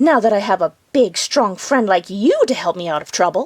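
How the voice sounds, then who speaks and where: A put-on character voice growls while sounding shrill. It moves at a moderate pace. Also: woman, medium pitch for a woman. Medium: read story.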